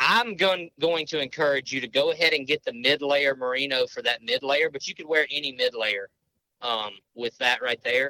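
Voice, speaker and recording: With a Southern US accent, the speaker has a bright, sharp tone and ordinary pitch variation. The pace is moderate, and the sound is dry and close with no echo. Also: man, fairly high pitch for a man. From Mississippi. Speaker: hunter and outdoor gear expert. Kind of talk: casual interview.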